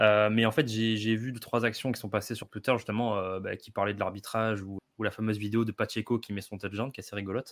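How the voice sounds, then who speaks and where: A man with a fairly low voice talks at a very fast pace, with hardly any pauses and a monotone, flat intonation. His loudness swings widely on a very clean recording with a silent background. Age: 20s. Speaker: NFL fan podcaster. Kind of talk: casual chat.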